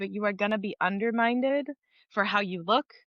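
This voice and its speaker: This woman's voice sits fairly high, with a bright, sharp tone. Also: dry, close sound with no echo. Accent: Spanish. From Los Angeles, born in Puerto Rico. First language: Spanish. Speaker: actor and singer. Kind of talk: interview conversation. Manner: animated.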